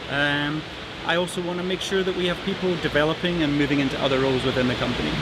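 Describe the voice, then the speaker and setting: Someone with a Scottish accent talks very fast, with fairly even intonation and very even loudness, amid audible room echo and noticeable background noise. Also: man, fairly high pitch for a man. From Scotland. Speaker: corporate manager. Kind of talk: internal company video, conversational.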